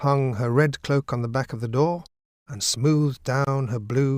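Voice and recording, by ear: A natural voice reads the text aloud. The intonation stays fairly even, and the background is quiet.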